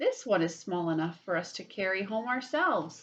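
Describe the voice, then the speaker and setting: A woman's put-on character voice at a medium pitch and a moderate pace. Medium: read story.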